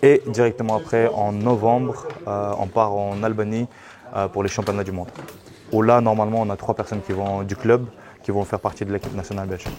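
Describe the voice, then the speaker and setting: Over noticeable background noise, a man talks at a fairly quick pace with fairly low pitch and fairly even intonation. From Belgium. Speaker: MMA coach. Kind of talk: interview.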